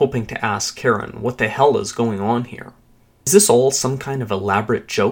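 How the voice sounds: The delivery is a natural reading voice. Its pitch variation is ordinary.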